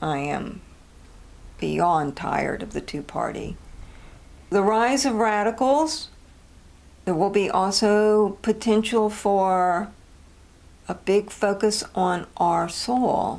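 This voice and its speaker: With an American accent, a woman talks at a very slow pace and medium pitch, her intonation lively and broken by long, frequent pauses. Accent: southern accent that sometimes comes out. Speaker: astrologer and podcast host. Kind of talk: solo podcast monologue on astrology. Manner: casual, conversational.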